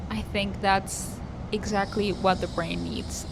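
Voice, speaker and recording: Noticeable background noise and audible room echo surrounding a woman speaking. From Argentina. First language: Spanish. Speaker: singer-songwriter vlogger. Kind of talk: personal vlog monologue.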